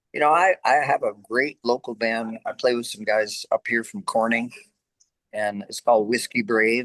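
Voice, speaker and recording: A man speaks with an American accent at a moderate pace. His loudness swings widely, and the sound is dry and close with no echo. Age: 60s. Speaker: rock singer. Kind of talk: interview.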